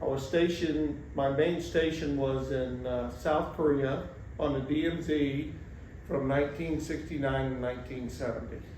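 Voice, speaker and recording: Speaking with an American accent, a man talks at a moderate pace with fairly even intonation and a fairly high pitch. Noticeable background noise runs underneath. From rural Missouri, USA. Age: 70s. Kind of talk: interview answer. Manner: halting, many fillers.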